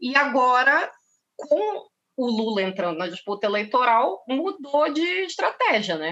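A woman speaks at a fairly slow pace in a high voice with very wide pitch swings. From Brazil, Pará (North). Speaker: journalist and political scientist. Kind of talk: casual interview. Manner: animated.

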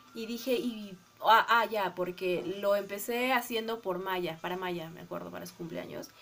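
A woman with an unremarkable speaking voice, medium pitch, ordinary pitch variation, a fairly slow pace, and big swings in loudness. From Peru, Arequipa. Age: 30s. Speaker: podcast co-host. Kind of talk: casual chat.

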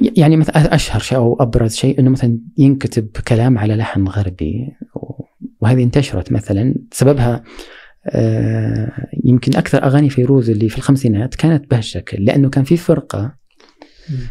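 At a moderate pace, a plain, everyday voice talks with ordinary pitch variation. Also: man, medium pitch for a man. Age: 40s. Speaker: poet and cultural researcher. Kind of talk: interview conversation.

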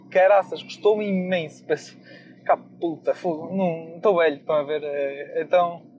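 A man with a high voice speaks at a fairly slow pace and fairly even intonation, with music playing in the background. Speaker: podcast host. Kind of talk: casual monologue.

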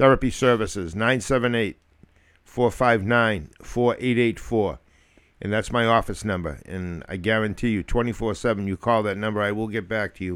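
Talking in an American accent, a man has a plain, everyday voice with fairly low pitch. His intonation stays fairly even at a moderate pace. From Massachusetts (Lowell area). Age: 60s. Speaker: podcast host, retired police officer, clinical social worker. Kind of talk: casual chat.

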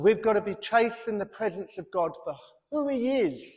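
Moderately paced male speech with lively intonation and a British accent. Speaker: pastor. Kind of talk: sermon. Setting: church.

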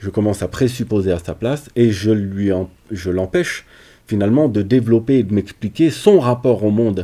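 A man speaks with a dark, mellow tone. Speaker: psychologist. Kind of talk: interview.

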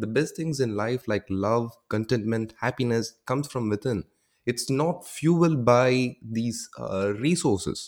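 With a Tamil accent, a man speaks at a fairly slow pace. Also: medium pitch for a man, ordinary pitch variation, very clean recording, silent background. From South India, Tamil. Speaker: podcast host interviewing creators. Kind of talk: casual interview chat. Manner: halting, many fillers and restarts.

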